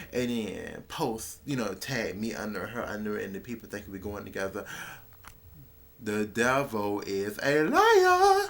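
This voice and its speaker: Delivery is at a fairly slow pace over noticeable background noise. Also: man. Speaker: vlogger. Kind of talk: casual storytelling vlog.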